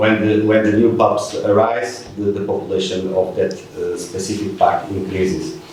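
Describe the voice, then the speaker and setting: Noticeable background noise runs under the recording, with audible room echo. The pace is moderate. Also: man. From Portugal. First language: Portuguese. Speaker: wildlife researcher. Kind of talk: lecture. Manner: halting.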